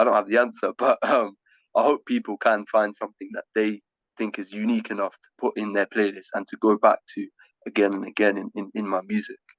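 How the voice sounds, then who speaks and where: With an English Midlands accent, a man speaks at a fairly quick pace with big swings in loudness, in a dry, close sound with no echo. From Leamington Spa, England. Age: 20s. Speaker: rapper and music artist. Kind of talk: interview answer. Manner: casual, conversational.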